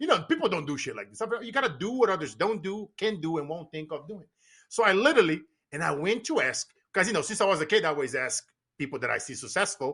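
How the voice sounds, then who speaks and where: In a Brazilian Portuguese accent, a man speaks very fast in a raised, projected voice, his animated, bright and sharp tone sweeping through very wide pitch swings. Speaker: business coach and motivational speaker. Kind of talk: podcast interview.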